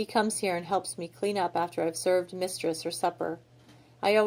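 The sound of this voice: Fairly even intonation in an unforced reading voice.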